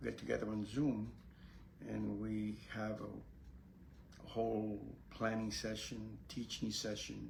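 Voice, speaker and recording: A man talks very slowly, and room echo can be heard. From Puerto Rico, then New York City from age 8. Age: 80s+. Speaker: Zen Buddhist priest and teacher. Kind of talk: casual spiritual talk to camera. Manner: halting, with many fillers.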